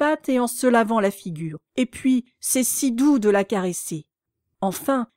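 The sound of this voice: An unforced reading voice is heard with a quiet background.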